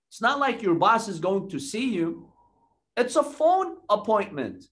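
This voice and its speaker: With lively intonation, a man keeps to a moderate pace. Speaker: religious lecturer. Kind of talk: sermon.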